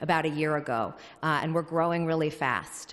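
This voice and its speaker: A woman at a fairly low pitch and moderate pace, against a quiet background. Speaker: housing advocacy director. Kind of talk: public comment speech at hearing. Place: hall. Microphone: podium.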